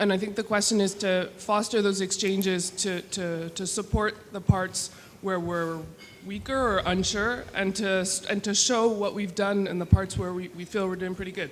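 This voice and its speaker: A woman speaks at a moderate pace with monotone, flat intonation. Audible room echo is present. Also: medium pitch for a woman. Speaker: conference attendee. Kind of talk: audience comment. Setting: conference room with audience.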